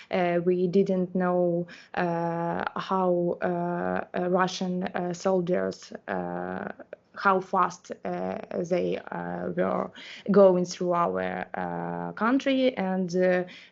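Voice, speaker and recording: A woman speaks with a Ukrainian accent. Her pace is very slow. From Ukraine, Enerhodar. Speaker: interpreter. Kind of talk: interpreting testimony. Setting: online live event. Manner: halting, many fillers.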